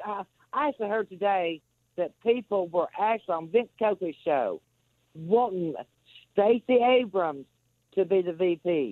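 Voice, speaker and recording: The pace of this speech is fairly slow. Long pauses come often. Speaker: caller. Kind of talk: call-in talk radio. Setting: phone call. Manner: agitated.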